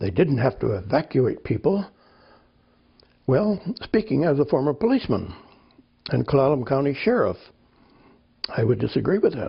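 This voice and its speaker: Speaking with an American accent at a moderate pace, a man uses a fairly high pitch, very wide pitch swings and vocal fry, with long, frequent pauses. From California. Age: 80s+. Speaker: author and retired police officer. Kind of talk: interview. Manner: halting.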